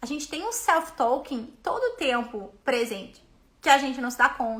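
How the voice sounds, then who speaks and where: Her pitch is high and varies in an ordinary way. This woman uses a raised, projected voice. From Brazil. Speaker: business mentor and coach. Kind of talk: live stream talk. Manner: fast; animated.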